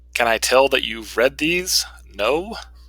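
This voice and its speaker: Over a silent background in a very clean recording, a man speaks very slowly in a bright, sharp tone with lively intonation. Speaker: university instructor. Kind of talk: lecture.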